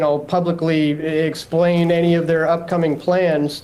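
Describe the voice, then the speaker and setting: The speaker talks with a Canadian accent. Noticeable background noise runs underneath. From Canada. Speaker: journalist reporting from the scene. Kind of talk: live news interview. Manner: halting, many fillers and repeats.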